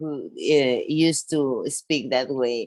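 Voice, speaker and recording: A woman with a Spanish accent, in a dry, close sound with no echo. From Venezuela. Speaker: podcast guest. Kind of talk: casual chat. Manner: halting.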